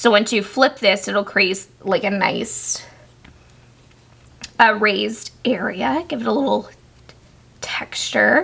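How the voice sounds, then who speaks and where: Speaking very slowly with long, frequent pauses, a woman uses a fairly high pitch and ordinary pitch variation. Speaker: crochet tutorial maker. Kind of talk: tutorial.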